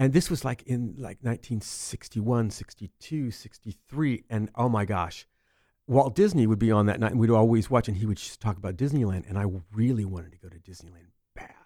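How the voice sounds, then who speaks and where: At a fairly quick pace, a man with an American accent talks in an unremarkable speaking voice, with ordinary pitch variation and big swings in loudness. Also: medium pitch for a man, very clean recording, silent background. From Central California. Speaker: speaker and actor. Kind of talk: casual interview chat. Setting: studio.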